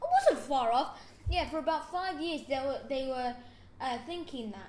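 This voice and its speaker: A high-pitched woman's voice at a moderate pace, with ordinary pitch variation and audible room echo. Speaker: podcast host. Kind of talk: casual chat. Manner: halting; animated.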